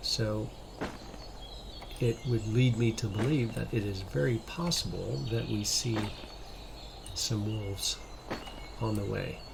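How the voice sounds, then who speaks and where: A man whispers with long, frequent pauses, with audible room echo and noticeable background noise. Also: fairly slow pace. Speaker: gaming youtuber. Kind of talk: let's play commentary. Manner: whispering.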